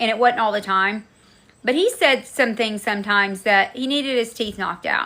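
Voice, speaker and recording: Loud and animated, a woman talks at a fairly quick pace in a fairly high pitch with ordinary pitch variation. Her tone is bright and sharp, and the recording is very clean, with a silent background. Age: 40s. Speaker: livestream host. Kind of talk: casual chat.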